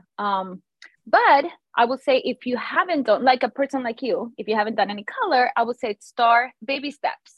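The voice has a Spanish accent. Its intonation is lively. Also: woman, high pitch for a woman, moderate pace. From Venezuela. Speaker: hair stylist and educator. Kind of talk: interview.

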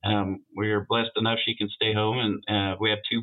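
Flat and monotone, a man speaks in a fairly low pitch at a moderate pace. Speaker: auto shop vice president. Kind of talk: interview, casual conversation.

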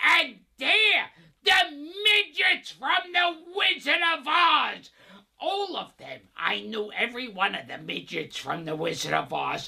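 This man uses a put-on character voice pitched extremely high. He talks at a fairly slow pace. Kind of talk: improvised comic voice-over.

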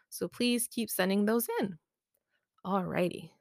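A woman with a plain, everyday voice speaks at a medium pitch with ordinary pitch variation, in a very clean recording with a silent background and a dry, close sound with no echo. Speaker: podcast host. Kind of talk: horror story narration, read aloud. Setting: home, makeshift room. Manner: hushed, suspenseful, measured pacing; slow, building dread.

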